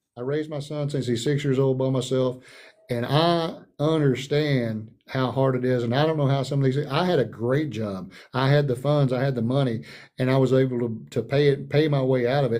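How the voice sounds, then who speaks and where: With an American accent, a man talks at a fairly quick pace in a medium pitch with a dark, mellow tone and audible room echo. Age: 60s. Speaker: political candidate. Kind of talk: town hall interview. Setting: online livestream. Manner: animated; halting.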